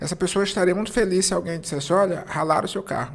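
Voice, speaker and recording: The speaker is a man with a high voice. His pitch moves with ordinary variation. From Brazil, interior of Maranhão. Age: 50s. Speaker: entrepreneur. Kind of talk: interview. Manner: calm, serene.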